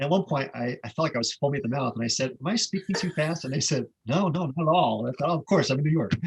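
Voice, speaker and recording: With a Northeastern US accent, a man speaks very fast, barely pausing, in a somewhat breathy voice. His pitch is fairly high, with ordinary variation. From Connecticut. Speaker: stress management author and speaker. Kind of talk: presentation.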